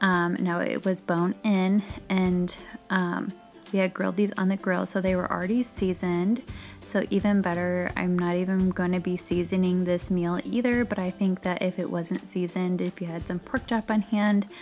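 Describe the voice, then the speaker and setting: A woman speaks at a moderate pace with fairly even intonation. Faint music plays in the background. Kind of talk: casual cooking tutorial chat. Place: kitchen. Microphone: camera far.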